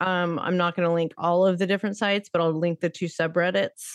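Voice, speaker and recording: A woman with an unremarkable speaking voice, fairly low in pitch with ordinary pitch variation, talks at a fairly quick pace in a dry, close sound with no echo and a quiet background. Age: 40s. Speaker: true crime podcast host. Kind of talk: casual chat.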